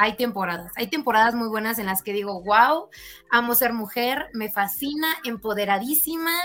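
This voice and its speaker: A woman speaks at a moderate pace with fairly high pitch and lively intonation. Music plays in the background. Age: 20s. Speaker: pole dance athlete. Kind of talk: casual chat.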